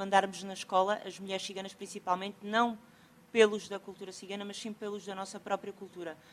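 A woman with a Portuguese accent talks at a fairly quick pace and a medium pitch. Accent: European Portuguese. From Portugal. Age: 40s. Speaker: sociocultural mediator. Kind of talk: conference talk. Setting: stage with audience. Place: hall.

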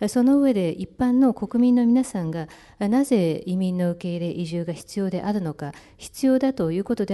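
A woman uses an ordinary speaking voice at medium pitch, talking at a fairly quick pace with lively intonation against a quiet background. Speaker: interpreter. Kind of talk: consecutive interpretation. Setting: press conference.

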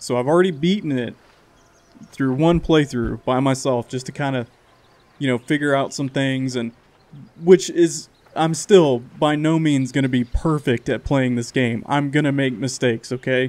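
At a moderate pace, the man's intonation stays fairly even. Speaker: gaming channel host. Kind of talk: casual let's play intro.

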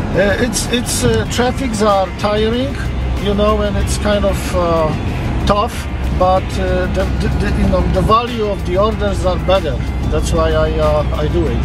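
Over loud music in the background, a man speaks at a fairly slow pace in a dry sound with no echo. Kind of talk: interview answer. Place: car. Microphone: camera far.

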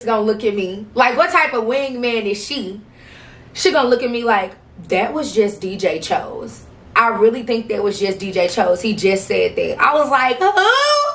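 Spoken at a moderate pace with lively intonation, the voice carries an American accent. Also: woman, fairly high pitch for a woman. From St. Louis, Missouri. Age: 20s. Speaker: vlogger. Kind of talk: casual talk to camera. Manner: chatty, casual. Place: home room. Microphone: camera far.

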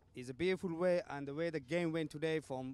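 A man with a high pitch speaks at a fairly quick pace. The sound is dry with no echo, and his pitch variation is ordinary. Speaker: cricket club representative. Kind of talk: interview. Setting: outdoors in the cold. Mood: upbeat, thankful. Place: street. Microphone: handheld.

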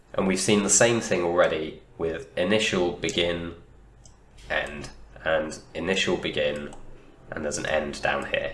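A man speaking with long, frequent pauses over noticeable background noise. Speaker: university teaching assistant. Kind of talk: lecture tutorial. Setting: home recording, poor sound.

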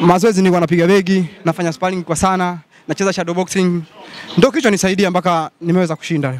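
With light background noise and a dry sound with no echo, a man talks at a very fast pace in a high pitch with fairly even intonation. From Tanzania, Mbeya region; Tanzania. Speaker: boxer. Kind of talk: post-fight interview. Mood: proud, confident after winning. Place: hall. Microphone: handheld.

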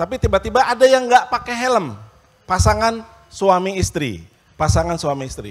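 A man's pitch swings very widely as he talks at a fairly quick pace. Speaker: university dean and lecturer; lecturer. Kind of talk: panel discussion at a forum. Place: stage. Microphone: handheld.

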